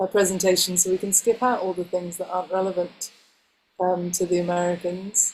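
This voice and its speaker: Speaking at a fairly quick pace with an English accent, a woman holds a medium pitch in a monotone, flat intonation. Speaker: homeschooling education presenter. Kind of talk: webinar presentation.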